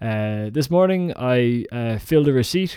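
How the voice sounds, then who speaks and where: A man with a Dublin accent speaks at medium pitch in a dark, mellow tone on a very clean recording with a silent background. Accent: Dublin Irish. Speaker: comedian. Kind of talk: spoken diary monologue.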